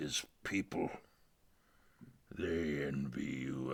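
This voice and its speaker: A cartoonish character voice from a man, raspy and very deep and low, at a very slow pace. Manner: grandiose, patronizing.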